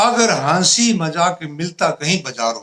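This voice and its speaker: A man is speaking. His intonation is lively. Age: 60s. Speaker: comedic poet. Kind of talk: interview.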